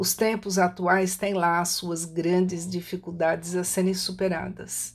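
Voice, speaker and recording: A woman speaks slowly and flatly in a monotone at a medium pitch, with hardly any pauses, on a very clean recording with a silent background. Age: 60s. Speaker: writer and holistic therapist. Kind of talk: reflective monologue.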